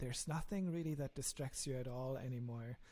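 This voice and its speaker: A somewhat breathy voice with a German accent has a dark, mellow tone. The pace is moderate. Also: man. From Germany. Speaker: software engineer and app founder. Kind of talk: podcast interview.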